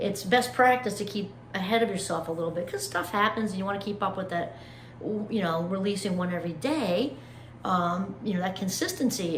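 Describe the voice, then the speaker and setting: A woman speaks with lively intonation amid noticeable background noise and audible room echo. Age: 50s. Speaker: motivational YouTuber. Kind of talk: casual vlog monologue. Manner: animated.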